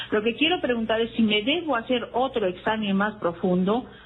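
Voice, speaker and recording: A woman's fairly high voice at a fairly quick pace, ordinary pitch variation, over noticeable background noise. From Peru, Arequipa region. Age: 60s. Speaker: caller. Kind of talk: call-in question to a radio health show. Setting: phone call. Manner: hesitant, many fillers.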